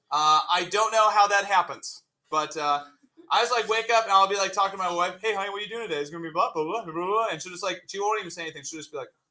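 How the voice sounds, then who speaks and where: The voice is raised and projected, with a bright, sharp tone and very fast delivery. Loudness swings widely while pitch varies in an ordinary way. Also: man, high pitch for a man. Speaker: high school chemistry teacher. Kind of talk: classroom lecture. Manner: energetic, casual.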